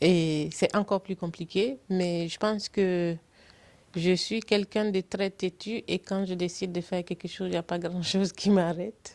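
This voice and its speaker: Speaking at a fairly slow pace in a medium pitch, a woman keeps fairly even intonation, the sound dry and close with no echo. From Burkina Faso. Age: 40s. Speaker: political candidate, electrical engineer. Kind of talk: interview. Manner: hesitant, many fillers.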